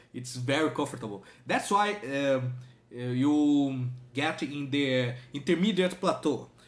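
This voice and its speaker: Speaking with a strong non-native accent, a man talks at a fairly slow pace. His pitch is fairly high. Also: ordinary pitch variation. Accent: strong foreign accent in English. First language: not English. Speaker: language learner and reaction video host. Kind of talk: reaction video commentary. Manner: halting, many fillers.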